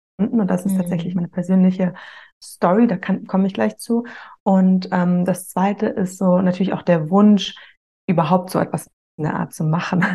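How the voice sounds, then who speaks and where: A woman speaks at a medium pitch with a dark, mellow tone that is somewhat breathy. Her pace is moderate and her pitch variation ordinary. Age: 30s. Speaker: author of a breakup journal. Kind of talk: interview.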